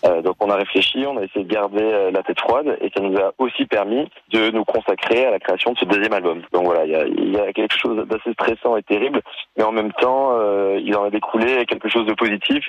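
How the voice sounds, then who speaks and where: The speaker keeps very even loudness and fairly even intonation at a fairly quick pace over noticeable background noise. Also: man, fairly low pitch for a man. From Nice, France. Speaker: musician, band co-founder. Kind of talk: radio interview.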